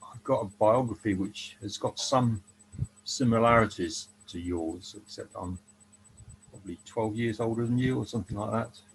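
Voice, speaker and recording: Somewhat breathy, the voice moves at a fairly slow pace with fairly even intonation. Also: man. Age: 70s. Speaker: economist. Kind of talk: casual chat. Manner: hesitant, with many ums.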